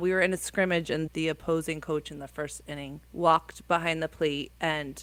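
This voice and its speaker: A woman speaks with a New Jersey accent at a moderate pace. Her very deep, low voice stays monotone and flat. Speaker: high school softball coach. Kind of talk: podcast interview answer. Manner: casual, conversational.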